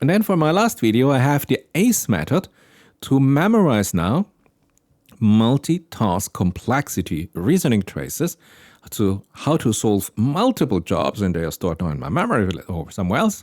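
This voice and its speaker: A man with a non-native accent makes very wide pitch swings in a dry, close sound with no echo, in a very clean recording with a silent background. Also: medium pitch for a man, moderate pace. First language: not English. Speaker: AI explainer video creator. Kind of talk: explanatory tech talk. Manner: thinking aloud with hesitations.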